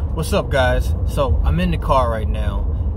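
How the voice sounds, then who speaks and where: A man talks at a moderate pace with ordinary pitch variation. The sound is dry with no echo, and background noise is noticeable. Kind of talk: kids ministry talk to camera. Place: car. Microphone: phone near.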